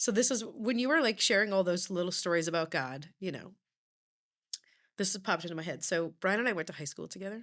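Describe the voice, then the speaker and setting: A woman talks at a very fast pace with lively intonation, in a very clean recording with a silent background. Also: medium pitch for a woman. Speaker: author and speaker. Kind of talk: casual chat.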